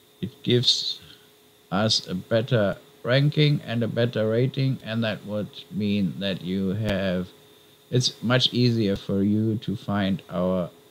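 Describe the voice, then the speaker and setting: A man with a non-native accent talks at a very slow pace in a fairly low pitch. His intonation is lively. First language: not English. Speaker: YouTuber documenting crypto mining setup. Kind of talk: casual video vlog. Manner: hesitant, with fillers.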